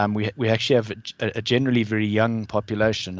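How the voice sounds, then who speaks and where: Speaking with a South African accent, a man talks at a fairly quick pace. His pitch is fairly low and his intonation monotone and flat. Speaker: alumnus asking a question at an online talk. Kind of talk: Q&A question at webinar. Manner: halting, many repetitions.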